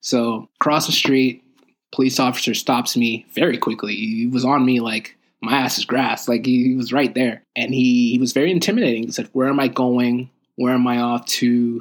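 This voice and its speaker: A man talks at a moderate pace in a medium pitch, his intonation fairly even. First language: French. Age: 20s. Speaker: podcast host's son sharing experiences. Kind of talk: casual chat.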